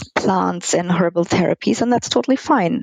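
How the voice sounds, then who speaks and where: A woman with an ordinary speaking voice talks at a fairly quick pace and a medium pitch. The sound is dry and close, with no echo. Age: 30s. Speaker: gynecologist. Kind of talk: interview.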